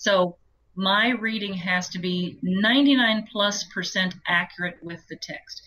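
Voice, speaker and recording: Fairly slow speech from a woman at a medium pitch, bright and sharp in tone, with ordinary pitch variation and big swings in loudness. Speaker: audiobook narrator. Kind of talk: interview answer.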